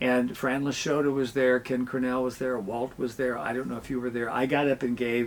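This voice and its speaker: A man in a plain, everyday voice with an American accent, medium pitch and a fairly quick pace. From Southern Illinois, south of Mount Vernon. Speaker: communication professor and podcast host. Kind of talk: interview conversation.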